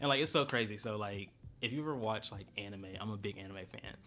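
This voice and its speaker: This man's voice sits fairly low, with ordinary pitch variation. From Florida (St. Petersburg). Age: 20s. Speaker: podcast co-host. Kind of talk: casual chat. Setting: studio.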